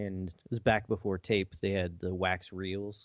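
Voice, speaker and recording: A man speaks in a very deep, low voice with an American accent. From Missouri. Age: 40s. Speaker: IT worker, musician and podcast co-host. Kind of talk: casual chat.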